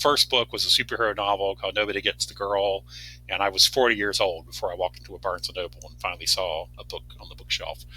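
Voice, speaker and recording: This man's fairly low voice has a bright, sharp tone and vocal fry, with very wide pitch swings. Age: 60s. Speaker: fantasy author. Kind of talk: casual chat. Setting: podcast interview. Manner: halting, many fillers.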